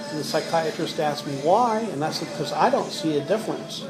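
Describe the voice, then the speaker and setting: Audible room echo runs through the clip. Noticeable background noise is also present. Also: man. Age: 60s. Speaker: care home resident with Parkinsonism. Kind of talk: interview.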